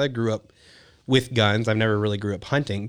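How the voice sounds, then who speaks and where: A man's medium-pitched voice in a Texan accent, with ordinary pitch variation and a very clean recording on a silent background. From Texas, Houston area. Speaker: hunting and wedding photographer. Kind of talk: casual chat.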